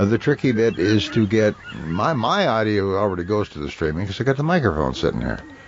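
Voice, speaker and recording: A man with an American accent speaks at a very fast pace and a fairly low pitch, making very wide pitch swings. Noticeable background noise can be heard. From northern Minnesota, upper Midwest US. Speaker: podcast host. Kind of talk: casual chat. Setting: streaming podcast with microphone.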